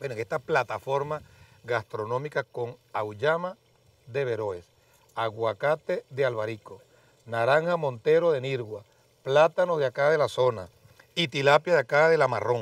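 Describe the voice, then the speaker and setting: Against a quiet background, a man speaks at a fairly slow pace with long, frequent pauses and ordinary pitch variation, the sound dry with no echo. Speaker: TV program host. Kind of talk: presenting to a live audience. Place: garden. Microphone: lapel.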